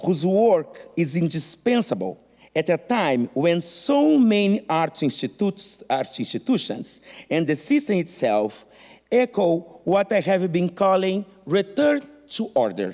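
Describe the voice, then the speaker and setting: At a fairly slow pace, a man with a non-native accent speaks in a high pitch with very wide pitch swings and very even loudness. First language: not English. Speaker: art historian. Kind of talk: conference talk.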